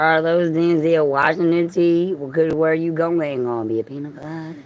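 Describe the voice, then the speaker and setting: A woman's very deep, low voice in a Southern US accent at a moderate pace, with fairly even intonation, big swings in loudness and audible room echo. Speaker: livestreamer. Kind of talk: casual livestream monologue.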